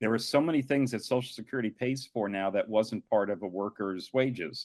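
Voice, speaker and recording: Over a quiet background, a man speaks in a normal speaking voice at a fairly quick pace, with medium pitch, ordinary pitch variation, and a dry, close sound with no echo. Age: 60s. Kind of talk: panel discussion.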